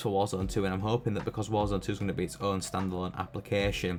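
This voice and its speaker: A man with a British accent and a fairly low pitch speaks at a very fast pace. Music plays in the background. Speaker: gaming YouTuber. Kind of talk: opinion commentary. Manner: stuttering.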